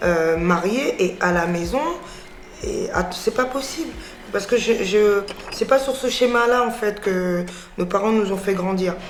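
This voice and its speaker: Over noticeable background noise and audible room echo, a woman speaks very slowly at a medium pitch, with ordinary pitch variation and long, frequent pauses. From France (Paris). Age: 30s. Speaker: business owner. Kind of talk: interview testimony. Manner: hesitant, many fillers.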